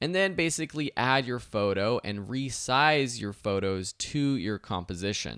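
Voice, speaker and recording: A man with a plain, everyday voice talks at a fairly slow pace, medium in pitch, with lively intonation, on a very clean recording with a silent background. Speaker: online video instructor. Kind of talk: software tutorial.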